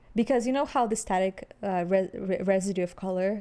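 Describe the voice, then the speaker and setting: A woman with a non-native accent, dark and mellow in tone, at a fairly quick pace. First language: not English. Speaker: podcast co-host. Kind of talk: casual chat.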